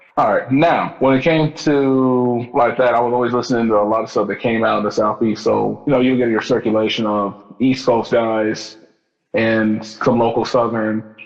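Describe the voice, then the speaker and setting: Over music in the background, a man with an American accent speaks at a moderate pace, medium pitch and fairly even intonation. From US Midwest, Kansas City. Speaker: rapper and singer. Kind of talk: casual chat.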